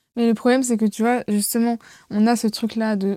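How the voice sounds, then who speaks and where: A woman's dark, mellow voice holds a monotone, flat intonation, the sound dry and close with no echo. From Seine-et-Marne, France. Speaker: drama student. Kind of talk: casual chat.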